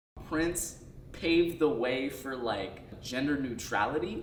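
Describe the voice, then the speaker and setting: Noticeable background noise and audible room echo surround this recording. A man at medium pitch speaks at a very slow pace. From upstate New York (Schenectady). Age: 20s. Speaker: interviewee, theater artist. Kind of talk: documentary interview. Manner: casual, hesitant with fillers.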